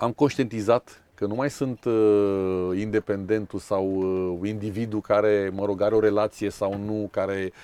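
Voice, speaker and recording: The tone is dark and mellow, delivered at a very slow pace with fairly even intonation in a dry, close sound with no echo. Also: man. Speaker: sailing school founder and former lawyer. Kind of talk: interview.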